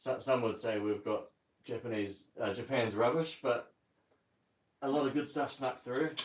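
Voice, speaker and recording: In a New Zealand accent, a man talks in a relaxed tone at a fairly quick pace, his pitch medium. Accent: New Zealand accent, noticed by viewers. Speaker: car hobbyist livestreamer. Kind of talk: casual live-stream tutorial. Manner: relaxed, hesitant with fillers.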